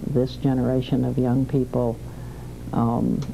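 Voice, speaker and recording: A woman speaks at a moderate pace with a Southern US accent. There is noticeable background noise and audible room echo. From US South, Alabama. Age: 60s. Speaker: civil rights activist. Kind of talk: interview testimony.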